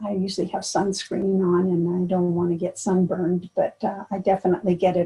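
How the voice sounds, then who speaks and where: A woman with an American accent speaks at a moderate pace, her pitch medium. Her tone is dark and mellow, and somewhat breathy. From US. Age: 70s. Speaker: triathlete. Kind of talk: interview. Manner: halting.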